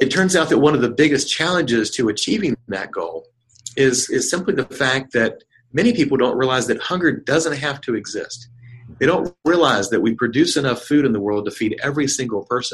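Speaking with an American accent, a man's fairly high voice sounds somewhat breathy. His pace is fairly quick and his intonation lively. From North Carolina. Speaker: nonprofit chief executive. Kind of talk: interview.

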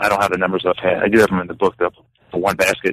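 A man's fairly low voice, dry and close with no echo. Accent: American. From New York, US East Coast. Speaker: history professor. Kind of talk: interview. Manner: halting, many fillers and repetitions.

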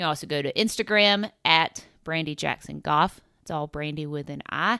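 A woman with a Southern US accent at a fairly quick pace. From US South, upstate South Carolina. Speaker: podcast host, golf coach. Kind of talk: scripted intro and outro; casual interview. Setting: in person at golf complex.

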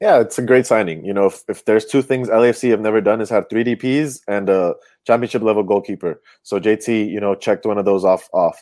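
A man speaks with a dark, mellow tone and fairly low pitch. His pace is fairly quick and his intonation fairly even, in a very clean recording with a silent background. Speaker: soccer commentator. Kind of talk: casual chat.

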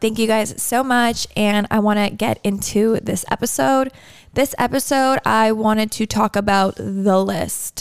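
A woman with a normal speaking voice talks at a fairly slow pace, her pitch fairly high, with ordinary pitch variation and very even loudness. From Canada (Toronto). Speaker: podcast host. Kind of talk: casual chat.

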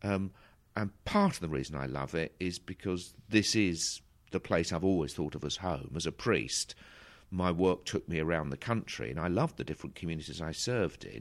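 On a very clean recording with a silent background, a man with an Essex accent speaks at a moderate pace with a very deep, low pitch, vocal fry and ordinary pitch variation. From south Essex, England. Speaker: bishop. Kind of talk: interview. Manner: halting.

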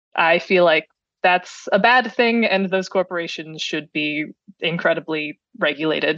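With an American accent, the speaker moves at a moderate pace in a dry, close sound with no echo. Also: woman. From US Midwest, Cleveland, Ohio. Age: 20s. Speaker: software engineer, podcast listener. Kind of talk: casual interview.

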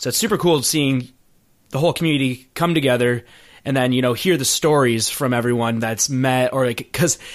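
The speaker has an American accent and a fairly quick pace. Pitch varies in an ordinary way. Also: man. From Michigan, US Midwest. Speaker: podcast host. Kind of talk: interview. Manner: animated.

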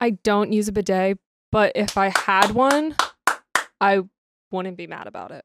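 A woman at medium pitch speaks at a fairly slow pace with ordinary pitch variation, long, frequent pauses and big swings in loudness, in a dry, close sound with no echo. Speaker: guest. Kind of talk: casual chat.

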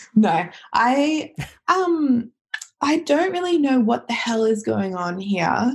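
At a very slow pace, a woman with an Australian accent speaks in a high pitch with very wide pitch swings. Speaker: listener guest, backpacker. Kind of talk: casual chat. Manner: hesitant, many fillers.

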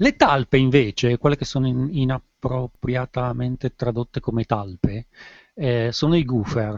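This man has a normal speaking voice at a medium pitch with ordinary pitch variation. He talks at a fairly slow pace in a dry, close sound with no echo. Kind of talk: casual chat.

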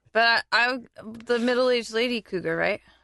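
With an American accent, a woman speaks at a moderate pace in a bright, sharp tone, with a dry, close sound and no echo. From US South, Florida. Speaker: podcast co-host. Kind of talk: casual chat.

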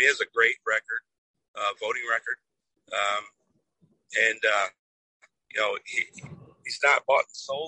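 With a Midwestern American accent, the speaker leaves long, frequent pauses and shifts widely in loudness. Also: man, moderate pace. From Toledo, Ohio, US Midwest. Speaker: political candidate, Air Force veteran. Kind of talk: interview. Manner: hesitant with many fillers. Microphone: cutting in and out.

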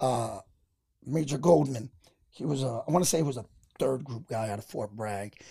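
With an American accent, a man speaks at a moderate pace and medium pitch in a dark, mellow tone with vocal fry, ordinary pitch variation, and long, frequent pauses. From New York. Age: 40s. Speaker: army veteran and comedian. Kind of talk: casual chat.

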